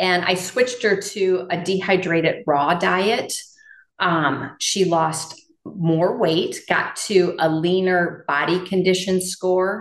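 In an American accent, a woman speaks at a very slow pace with a medium pitch and very even loudness. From Iowa, north of Dubuque. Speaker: integrative veterinarian. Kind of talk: interview.

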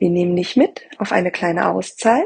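A woman's somewhat breathy voice, calm and soothing in tone, with ordinary pitch variation. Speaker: podcast host. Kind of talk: guided meditation. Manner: slow, calm and soothing; soft-spoken, gentle, with long pauses.

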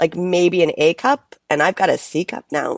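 A woman's medium-pitched, normal speaking voice in an American accent, fairly slow, with ordinary pitch variation and a dry, close sound with no echo. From United States and France. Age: 50s. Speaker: performer and musical creator. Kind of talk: casual chat.

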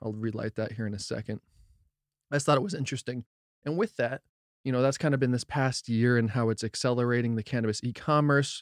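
Very clean, with a silent background and a dry, close sound with no echo. A man talks at a very fast pace, at medium pitch with ordinary pitch variation. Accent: American. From New Jersey. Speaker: cannabis podcast host. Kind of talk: casual podcast monologue; reading articles aloud.

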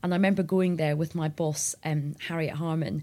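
A woman's very deep, low voice with a Scottish accent, at a moderate pace with fairly even intonation, in a very clean recording over a silent background. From Scotland. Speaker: journalist and former political advisor. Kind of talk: interview.

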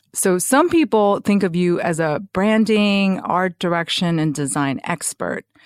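A woman with a normal speaking voice talks fairly slowly with hardly any pauses, at medium pitch and with ordinary pitch variation, on a very clean recording with a silent background and a dry, close sound with no echo. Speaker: podcast host. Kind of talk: interview, scripted intro and casual chat.

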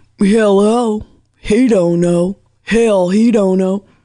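A female-sounding, put-on character voice delivers its lines at a very slow pace. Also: medium pitch for a woman.

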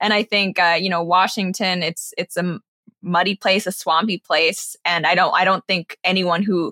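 A woman with an American accent and an unremarkable speaking voice, medium in pitch, at a moderate pace, in a very clean, dry, close recording with no echo and a silent background. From grew up overseas in Asia and London, American schools. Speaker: political commentator and online show host. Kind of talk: interview.

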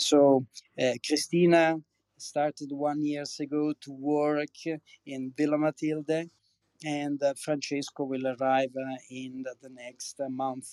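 At a fairly slow pace, a man with an Italian accent speaks at a medium pitch with monotone, flat intonation and a dry, close sound with no echo. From Campania, southern Italy. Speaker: wine producer. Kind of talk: interview. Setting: online audio chat room.

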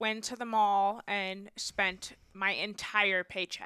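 Recorded with a dry, close sound and no echo, a woman speaks at a medium pitch in a bright, sharp tone. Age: 20s. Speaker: former teacher and financial coach. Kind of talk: casual interview chat.

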